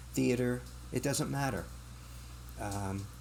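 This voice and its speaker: A man speaks at a fairly low pitch with vocal fry, at a moderate pace. The room echo is audible. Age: 60s. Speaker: bookstore owner. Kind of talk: podcast interview.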